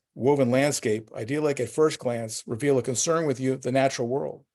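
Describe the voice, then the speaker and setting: A man with a New Jersey accent, medium pitch and ordinary pitch variation, on a very clean recording with a silent background. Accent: New Jersey American. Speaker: art gallery owner. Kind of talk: presentation with Q&A. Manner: fast.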